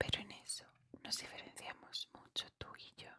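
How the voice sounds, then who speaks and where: Someone whispers at a fairly slow pace. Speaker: ASMR book reader. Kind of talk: whispered bedtime reading of a novel, ASMR. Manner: whispered, soft.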